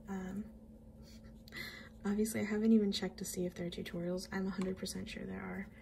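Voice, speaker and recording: Someone is mumbling over noticeable background noise. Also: woman. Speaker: watercolor artist. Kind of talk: art tutorial talk to camera. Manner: casual, hesitant.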